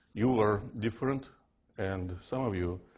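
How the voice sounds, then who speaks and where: This man speaks with a Russian accent, his fairly low pitch carrying a fairly even intonation. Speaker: physics professor. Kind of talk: lecture. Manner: unusual fixed intonation.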